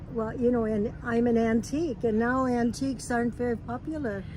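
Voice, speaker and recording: There is audible room echo as a woman with a fairly high voice talks at a moderate pace with fairly even intonation. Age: 90s. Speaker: host's elderly mother. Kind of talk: casual chat.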